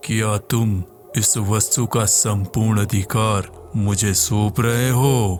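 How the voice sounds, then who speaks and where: Over clear background noise, a man puts on a character voice, fairly low in pitch and very slow in pace. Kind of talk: horror audio drama. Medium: read story. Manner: formal, commanding.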